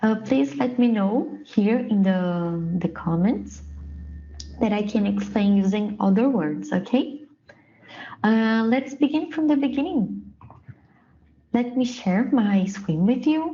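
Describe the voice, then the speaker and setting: Speaking at a fairly slow pace with long, frequent pauses, a woman with a Brazilian Portuguese accent uses a fairly high pitch, lively intonation and very even loudness. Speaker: production engineer, dashboard trainer. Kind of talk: presentation / tutorial. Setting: prerecorded online session. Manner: hesitant, many fillers.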